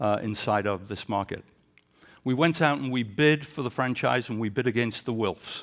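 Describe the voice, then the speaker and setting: A man at a medium pitch with an English accent, moderate pace and ordinary pitch variation, on a very clean recording with a silent background. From England. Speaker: sports executive. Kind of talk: leadership talk.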